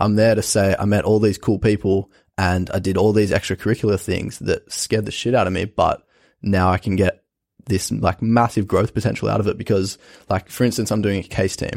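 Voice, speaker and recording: Monotone, flat intonation in an Australian accent, with dry, close sound, no echo, and a very clean recording with a silent background. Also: man, fairly low pitch for a man. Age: young (19). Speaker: university student. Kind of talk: casual interview.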